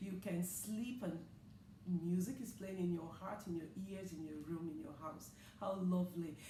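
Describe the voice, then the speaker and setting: Through noticeable background noise and audible room echo, a woman at medium pitch talks at a moderate pace with ordinary pitch variation and long, frequent pauses. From Nigeria. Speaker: talk show host. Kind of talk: interview. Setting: studio.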